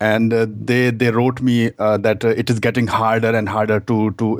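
A man speaks at a fairly slow pace with a fairly low pitch and an Indian accent. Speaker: dating coach. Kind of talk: call-in conversation. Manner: halting.

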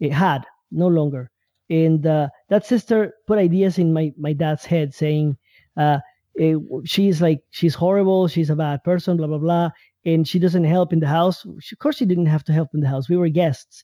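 Delivered at a moderate pace, the dark, mellow voice sounds dry and close, with no echo. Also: man, fairly high pitch for a man. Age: 30s. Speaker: caller. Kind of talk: call-in conversation. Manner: halting.

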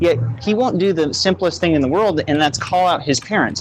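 A man with a fairly high pitch talks at a fairly quick pace with lively intonation over noticeable background noise. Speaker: caller. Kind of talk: casual chat. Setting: voice chat call.

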